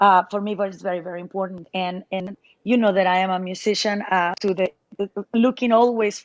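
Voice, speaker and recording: With a Spanish accent, a woman speaks in monotone, flat intonation with a dry, close sound and no echo. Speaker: musician. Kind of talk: interview. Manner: halting.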